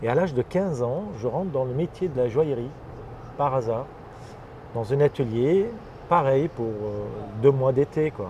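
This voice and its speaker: A man with an Armenian accent speaks at a medium pitch and a fairly slow pace, his intonation lively and his speech broken by long, frequent pauses. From Lebanon (Armenian family, Beirut). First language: Armenian (speaking French). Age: 50s. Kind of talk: interview. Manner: hesitant, many fillers.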